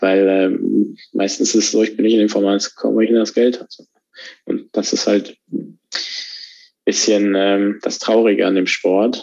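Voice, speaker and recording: A man talks at a moderate pace, leaving long pauses again and again. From Germany. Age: 20s. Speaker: racing driver. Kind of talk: interview. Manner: halting, many fillers.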